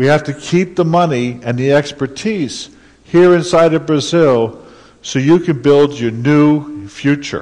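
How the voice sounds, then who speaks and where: A man with a normal speaking voice, fairly high pitch, ordinary pitch variation and a fairly slow pace. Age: 60s. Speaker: conference speaker. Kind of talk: conference talk.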